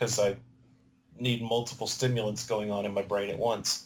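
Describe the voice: Audible room echo surrounds a man talking at a moderate pace with fairly low pitch and little pitch movement.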